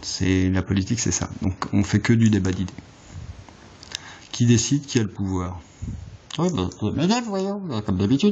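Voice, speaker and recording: A man speaks with a fairly low pitch. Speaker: political vlogger. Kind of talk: political monologue. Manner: fast; halting.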